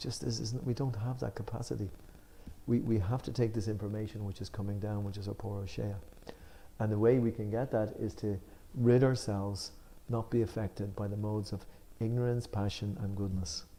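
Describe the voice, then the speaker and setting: Fairly low in pitch and somewhat breathy, a man's dark, mellow voice moves at a fairly quick pace with fairly even intonation. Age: 60s. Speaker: spiritual discussion leader. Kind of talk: religious study discussion. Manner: halting.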